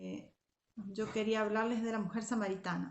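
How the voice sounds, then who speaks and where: There is audible room echo around a woman speaking. She keeps a fairly slow pace and fairly even intonation. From Argentina, Zárate. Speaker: Sunday school and youth teacher. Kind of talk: devotional talk to young women. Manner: hesitant, many fillers.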